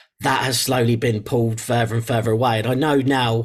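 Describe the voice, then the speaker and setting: Somewhat breathy, the speaker talks at a moderate pace with an English accent and fairly even intonation. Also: man. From England. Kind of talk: interview. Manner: halting, with fillers and repetitions.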